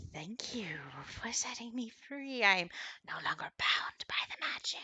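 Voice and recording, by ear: In a whisper, a female-sounding voice performs a put-on character voice at a fairly slow pace.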